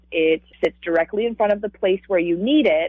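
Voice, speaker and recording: A woman with an American accent speaks at a fairly quick pace. She has an ordinary speaking voice with ordinary pitch variation. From US South, Charlotte, North Carolina. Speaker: startup CEO. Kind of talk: interview. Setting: phone call.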